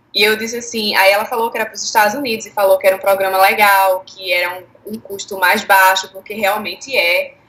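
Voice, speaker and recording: With noticeable background noise behind her, a woman speaks at a fairly quick pace and a medium pitch, hardly pausing, her intonation fairly even but her loudness swinging widely. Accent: Recife. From Brazilian Northeast, Recife. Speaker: former au pair. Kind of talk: interview.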